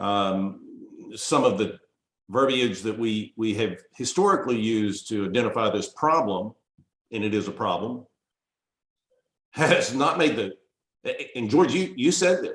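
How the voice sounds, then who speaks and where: A man speaks fairly slowly in a medium pitch with lively intonation and long, frequent pauses. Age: 60s. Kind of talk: group discussion. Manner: hesitant, many fillers.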